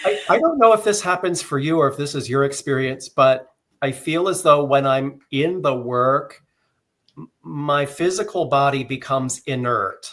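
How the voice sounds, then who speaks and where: A man talks in a normal speaking voice at a moderate pace. His pitch is fairly high, with ordinary pitch variation. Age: 60s. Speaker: psychic medium and author. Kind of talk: casual interview chat.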